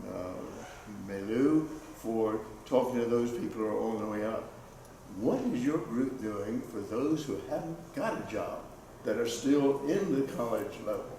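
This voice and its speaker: This man talks at a fairly slow pace with long, frequent pauses, at medium pitch and with ordinary pitch variation. Noticeable background noise and audible room echo fill the recording. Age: 80s+. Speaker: audience member, lawyer and priest. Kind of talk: audience comment at panel event.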